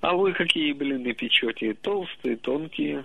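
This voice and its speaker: Speaking at a very slow pace, a man uses a fairly high voice. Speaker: regular caller. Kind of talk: casual phone chat. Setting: phone call. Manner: distinctive intonation.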